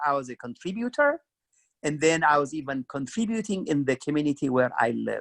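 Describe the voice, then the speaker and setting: A man speaks with an Ethiopian accent and lively intonation. The sound is dry and close, with no echo. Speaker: career club co-host. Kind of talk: career advice talk.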